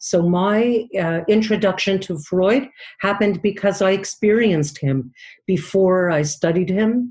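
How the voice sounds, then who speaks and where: This woman has a medium pitch and a somewhat breathy sound. She speaks at a fairly slow pace. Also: ordinary pitch variation. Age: 60s. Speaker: dream analyst. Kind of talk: interview. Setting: podcast.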